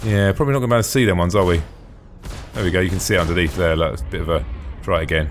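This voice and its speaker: With music in the background, a man speaks in a British accent at a very fast pace. His very deep, low voice has lively intonation. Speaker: gaming video host. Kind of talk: casual gameplay commentary. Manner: enthusiastic.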